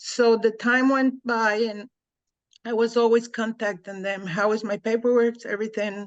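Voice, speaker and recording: A woman speaks at a fairly slow pace in a flat monotone. The background is quiet. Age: 70s. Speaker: social worker and mental health counselor. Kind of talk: testimony. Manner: halting.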